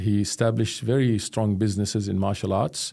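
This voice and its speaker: A man speaks with a dark, mellow tone and a fairly low pitch. The recording is very clean, with a silent background. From Jordan. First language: Arabic. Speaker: professor of Islamic studies. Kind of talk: interview.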